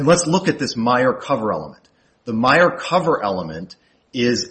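A man speaks in a plain, everyday voice at medium pitch. His intonation is lively. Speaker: appellate lawyer. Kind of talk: oral argument before appeals court. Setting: courtroom.

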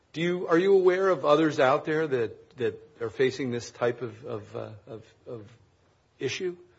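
Lively in intonation and somewhat breathy, a man talks at a moderate pace with a fairly high pitch. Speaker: chief judge. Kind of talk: presiding over oral argument. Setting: courtroom. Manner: formal.

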